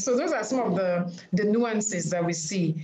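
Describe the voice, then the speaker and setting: Spoken at a moderate pace with ordinary pitch variation, the voice comes through noticeable background noise and audible room echo. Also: woman. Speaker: panel moderator. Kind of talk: panel discussion. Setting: video call.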